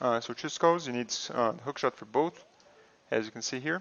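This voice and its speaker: At a fairly quick pace, a man with a non-native accent talks at a medium pitch with lively intonation. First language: not English. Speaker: video game streamer. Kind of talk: gameplay tutorial. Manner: casual, with fillers.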